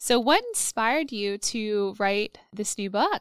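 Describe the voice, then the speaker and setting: A woman speaks in a normal speaking voice at a fairly high pitch with ordinary pitch variation, the sound dry and close with no echo. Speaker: podcast host and therapist. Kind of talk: casual interview chat. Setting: video call.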